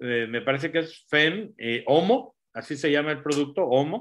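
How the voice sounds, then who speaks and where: A man with a plain, everyday voice, a fairly high pitch and lively intonation speaks at a fairly slow pace. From Latin America. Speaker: doctor and nutrition product promoter. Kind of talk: live stream talk.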